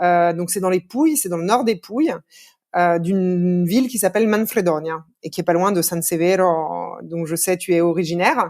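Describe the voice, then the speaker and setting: A woman with an unremarkable speaking voice, a fairly low pitch, ordinary pitch variation and a moderate pace. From France, Lyon. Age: 30s. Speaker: podcast guest. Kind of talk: interview conversation.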